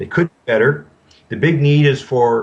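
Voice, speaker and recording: A man with a Canadian accent talks at a moderate pace in a plain, everyday voice with ordinary pitch variation. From Canada. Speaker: banking consultant. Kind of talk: interview answer.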